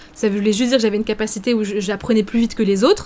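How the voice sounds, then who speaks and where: Her speech is very fast. The woman's pitch sits fairly high. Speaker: streamer. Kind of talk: live stream chat reacting to viewers. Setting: live stream. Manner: hesitant, many fillers.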